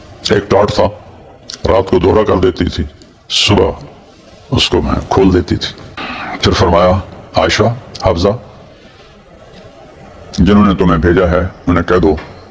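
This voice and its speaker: There is noticeable background noise as a man with a very deep, low pitch speaks with fairly even intonation. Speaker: Islamic preacher. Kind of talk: Islamic sermon (bayan). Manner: emotional, devotional storytelling.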